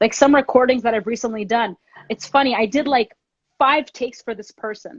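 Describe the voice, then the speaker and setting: A woman with a Canadian accent and a normal speaking voice talks at a fairly quick pace and fairly high pitch, with a dry, close sound and no echo. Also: ordinary pitch variation. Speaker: drummer. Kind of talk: interview. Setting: Instagram live stream.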